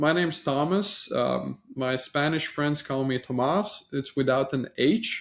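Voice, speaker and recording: Someone speaks at a fairly slow pace with a slight Latvian accent. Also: man. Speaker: marketing agency founder. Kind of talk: sales pitch. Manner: casual, with frequent fillers.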